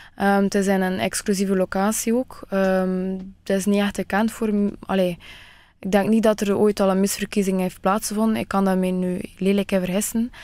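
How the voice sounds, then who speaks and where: Monotone, flat intonation and a dark, mellow tone come from a woman in a dry sound with no echo against a quiet background. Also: moderate pace. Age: 20s. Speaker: beauty pageant finalist; radio guest. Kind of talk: radio interview. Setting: radio studio. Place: studio.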